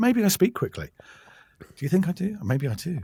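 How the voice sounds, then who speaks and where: With an English accent, a man talks at a very fast pace with very wide pitch swings. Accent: English (Received Pronunciation-like). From England. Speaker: audiobook narrator. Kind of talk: interview.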